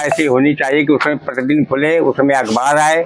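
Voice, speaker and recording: Against noticeable background noise, a man speaks at a fairly high pitch with monotone, flat intonation. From Unnao, Uttar Pradesh, India. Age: 70s. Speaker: lawyer, election candidate. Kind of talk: interview. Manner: formal.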